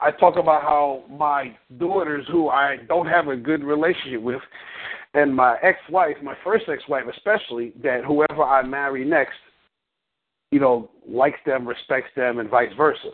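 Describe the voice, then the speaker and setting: A man with an ordinary speaking voice talks at a moderate pace and a fairly high pitch, with ordinary pitch variation. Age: 50s. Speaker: relationship coach. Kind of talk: coaching call.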